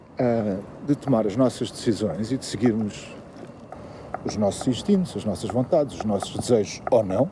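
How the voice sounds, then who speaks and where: A man's fairly low voice in a European Portuguese accent, at a moderate pace, with ordinary pitch variation and noticeable background noise. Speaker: YouTuber commentator. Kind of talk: improvised monologue. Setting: walking the dog, at night. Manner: hesitant, many fillers.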